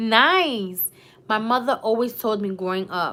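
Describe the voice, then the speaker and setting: With a New York accent, a woman speaks in a bright, sharp, animated tone. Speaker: YouTuber. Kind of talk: live stream chat.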